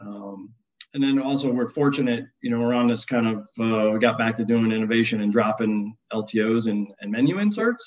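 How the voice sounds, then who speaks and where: With an American accent, a man talks at a medium pitch and a moderate pace. His intonation stays fairly even. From US Northeast, upstate New York. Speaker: restaurant chain culinary executive. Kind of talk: interview. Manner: halting, many fillers.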